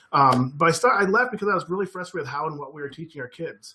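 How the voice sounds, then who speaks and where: A man with an American accent, bright and sharp in tone, at a very fast pace. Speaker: former teacher, education trainer. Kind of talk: webinar presentation. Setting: online webinar. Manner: animated.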